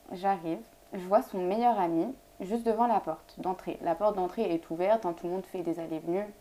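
Dark, mellow tone from a woman of medium pitch, at a fairly quick pace and with ordinary pitch variation. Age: 20s. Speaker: law student. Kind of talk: casual chat.

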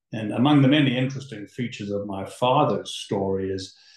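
A man talks with a somewhat breathy sound. His voice is mid-range in pitch and moves up and down in an ordinary way. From South Africa, moved to Toronto as a child. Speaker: litigation lawyer. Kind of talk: interview.

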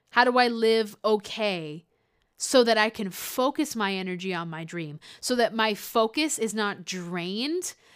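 A woman speaks in an animated tone at a fairly slow pace, her loudness swinging widely and her intonation lively, on a very clean recording with a silent background. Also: fairly high pitch for a woman. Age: 20s. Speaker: singer and podcast host. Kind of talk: casual monologue vlog.

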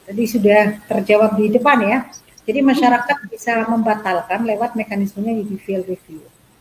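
A woman's fairly high pitch at a fairly quick pace, fairly even intonation, over noticeable background noise. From Central Java (Tegal). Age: 50s. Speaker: local legislator. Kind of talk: expert interview on a talk show.

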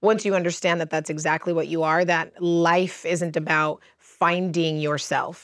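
In an American accent, a woman with a fairly low pitch speaks at a moderate pace in a flat, monotone way, on a very clean recording with a silent background. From US, Cuban American family. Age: 30s. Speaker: holistic practitioner and coach. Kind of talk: casual chat. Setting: outdoors.

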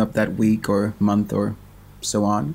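Speaking with a Swedish accent, a man talks. His pace is very slow. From Sweden. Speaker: film director and podcast co-host. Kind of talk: casual chat.

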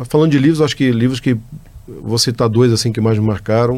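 This man talks with fairly even intonation. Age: 50s. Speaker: company executive. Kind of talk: interview answers. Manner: halting, many fillers.

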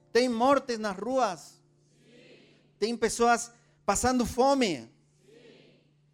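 Extremely high pitch from a man, ordinary pitch variation, big swings in loudness, very slow pace with long, frequent pauses, and a very clean recording over a silent background. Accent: Spanish. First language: Spanish (speaking Portuguese). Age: 40s. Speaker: preacher. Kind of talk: sermon.

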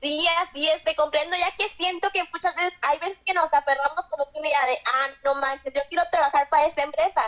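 Over noticeable background noise, a woman talks very fast in a raised, projected voice at an extremely high pitch, with fairly even intonation. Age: young. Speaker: content creator. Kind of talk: casual chat. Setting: remote call.

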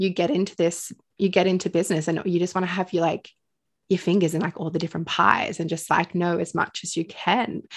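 An Australian accent at a fairly quick pace against a quiet background. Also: woman, fairly low pitch for a woman. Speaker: podcast host, spiritual teacher. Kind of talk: casual chat. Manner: animated.

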